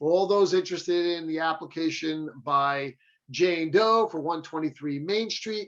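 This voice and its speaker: A man talks with a normal speaking voice. His pitch sits fairly high. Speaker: attorney. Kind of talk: lecture.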